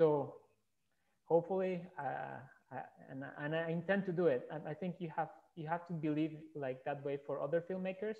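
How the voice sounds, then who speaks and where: Against a quiet background, a man with a Spanish accent speaks at a moderate pace in a high voice, with fairly even intonation and long, frequent pauses. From Colombia. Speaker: filmmaker; panelist. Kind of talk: panel discussion. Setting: video call. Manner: halting. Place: home room. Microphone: headset.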